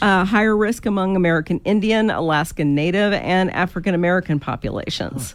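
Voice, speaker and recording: An ordinary speaking voice at a fairly quick pace, with very even loudness, ordinary pitch variation and hardly any pauses. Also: woman, medium pitch for a woman. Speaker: hospital communications director being interviewed. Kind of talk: radio interview answer.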